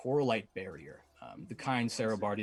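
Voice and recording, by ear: Someone is reading aloud in a natural voice.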